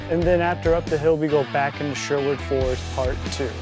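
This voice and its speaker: Music plays in the background as a man talks at a very fast pace. The sound is dry with no echo. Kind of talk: presentation to camera. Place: studio.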